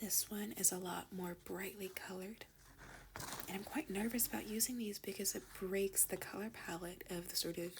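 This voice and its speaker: The pace is moderate and the tone is calm. Noticeable background noise runs underneath. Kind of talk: ASMR unboxing talk to camera. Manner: soft-spoken, calm.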